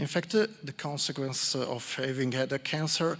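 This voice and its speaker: This man speaks at a fairly slow pace with an Italian accent and a fairly high pitch. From Italy, Milan. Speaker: psychologist. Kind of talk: conference talk. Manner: halting.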